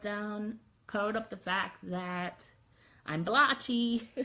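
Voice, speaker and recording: The voice sounds bright and sharp. Its intonation is fairly even. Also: woman. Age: 30s. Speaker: video blogger. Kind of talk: personal vlog monologue.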